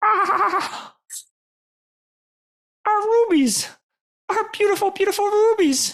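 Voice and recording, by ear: Slow and lively in intonation, a put-on character voice carries a fairly bright tone.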